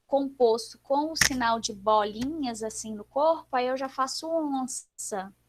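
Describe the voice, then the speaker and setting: A woman's high voice, very slow, with fairly even intonation. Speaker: sign language teacher. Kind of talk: online class livestream. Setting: video livestream.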